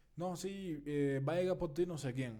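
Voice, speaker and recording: A man with a Cuban accent speaks in a dark, mellow tone. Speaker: podcast co-host. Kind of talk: casual chat.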